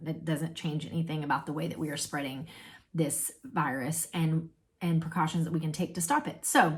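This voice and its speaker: This woman's voice is somewhat breathy. She is the one speaking. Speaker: podcast host. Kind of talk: interview.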